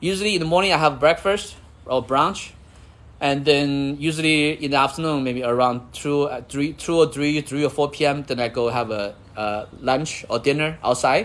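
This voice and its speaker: A man with a Chinese accent speaks at a moderate pace in a fairly high pitch with ordinary pitch variation. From China. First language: Chinese (Mandarin and Cantonese). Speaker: livestreamer and real estate investor. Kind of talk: casual livestream chat. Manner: repetitive, halting phrasing.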